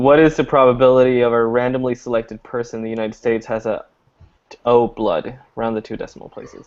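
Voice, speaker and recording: A man talks very fast at a medium pitch, with monotone, flat intonation. His loudness swings widely. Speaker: math student. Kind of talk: casual study group chat.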